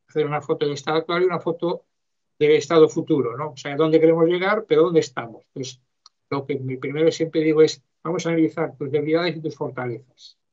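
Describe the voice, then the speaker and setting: At a very fast pace, a man speaks with fairly high pitch and fairly even intonation. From Galicia, Spain. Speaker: mentor and university lecturer. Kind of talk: interview. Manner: halting.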